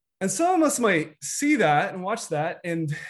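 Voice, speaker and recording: Audible room echo surrounds a speaker with an American accent. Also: man. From US. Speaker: guest pastor, youth director. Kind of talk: sermon. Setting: video call.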